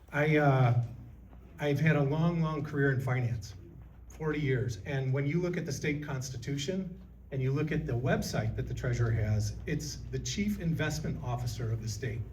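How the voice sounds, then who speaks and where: A man with an American accent speaks at a medium pitch, his voice carrying vocal fry and some audible room echo. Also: ordinary pitch variation, moderate pace. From Illinois. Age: 60s. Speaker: political candidate. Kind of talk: candidate forum speech.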